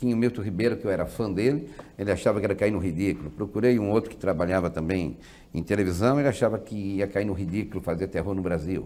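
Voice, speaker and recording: Talking at a very fast pace, a man uses a fairly low pitch, a dark, mellow tone and ordinary pitch variation. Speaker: guest. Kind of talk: interview answer. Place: studio. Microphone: lapel.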